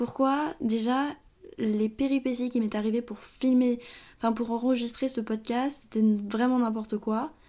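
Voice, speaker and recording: On a very clean recording with a silent background, a woman with a fairly high pitch and dark, mellow tone speaks at a fairly slow pace with fairly even intonation. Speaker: podcaster. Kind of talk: casual monologue. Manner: halting, stuttering.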